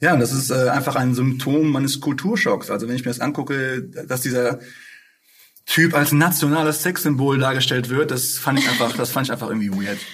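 At a fairly quick pace, a man of medium pitch talks with ordinary pitch variation and audible room echo. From Ruhr area, Essen. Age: 20s. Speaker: rapper. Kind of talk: casual interview.

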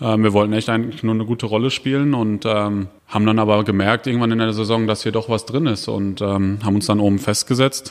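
Using a normal speaking voice, a man talks at a fairly quick pace with hardly any pauses, a fairly low pitch and fairly even intonation. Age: 30s. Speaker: professional footballer. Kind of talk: interview. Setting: stadium.

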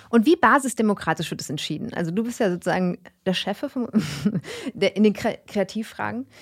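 A plain, everyday voice at a fairly quick pace with lively intonation, dry and close with no echo, on a very clean recording with a silent background. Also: woman, medium pitch for a woman. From Germany, Karlsruhe. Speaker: podcast host. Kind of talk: casual interview. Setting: studio.

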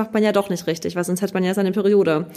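Music can be heard behind a woman as she talks. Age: 30s. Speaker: influencer and former competitive dancer. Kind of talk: casual podcast interview.

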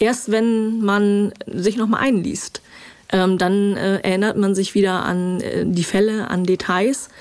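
At a very slow pace, a woman speaks at a medium pitch with fairly even intonation and very even loudness over noticeable background noise. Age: 50s. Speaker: crime reporter. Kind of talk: interview. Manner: hesitant, many filler sounds.

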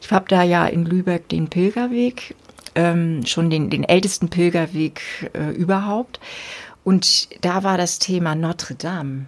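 Noticeable background noise sits behind a woman with a fairly low pitch who speaks at a fairly slow pace with ordinary pitch variation. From northern Germany, rural Dithmarschen. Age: 50s. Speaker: bishop and podcast host. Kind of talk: casual interview conversation.

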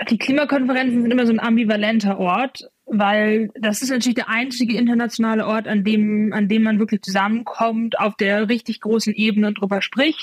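A somewhat breathy woman with a fairly high pitch talks at a fairly quick pace with hardly any pauses and very even loudness, in a dry, close sound with no echo. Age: 20s. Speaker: climate activist, student. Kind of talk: interview. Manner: frequent fillers and repetitions.

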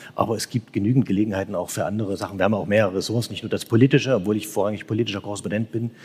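Fairly low pitch from a man with fairly even intonation, on a very clean recording with a silent background. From Saxony. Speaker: newspaper correspondent. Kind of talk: live panel discussion. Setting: church with live audience.

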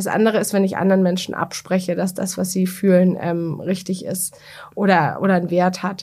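On a very clean recording with a silent background, a woman with a somewhat breathy, medium-pitched voice talks at a moderate pace. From Bavaria, Germany (Bamberg). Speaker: media executive and author. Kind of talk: interview.

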